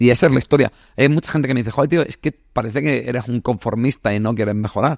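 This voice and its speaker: In a dry, close recording with no echo, a man speaks very fast at a medium pitch with ordinary pitch variation. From southern Spain, Andalusia (Granada). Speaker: psychologist. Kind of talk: casual interview chat. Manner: animated, colloquial.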